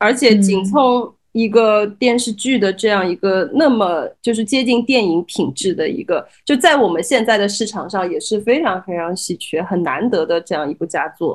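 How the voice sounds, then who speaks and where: In a very clean recording with a silent background, a woman with an ordinary speaking voice talks at a fairly high pitch with lively intonation and hardly any pauses. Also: moderate pace. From Shanghai, Changning district. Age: 30s. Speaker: guest co-host. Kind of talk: casual chat.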